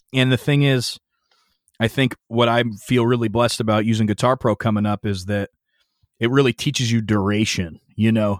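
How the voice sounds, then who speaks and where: A man with an ordinary speaking voice, at a moderate pace with fairly even intonation, in a dry, close sound with no echo. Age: 30s. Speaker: metal bassist. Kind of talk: casual interview.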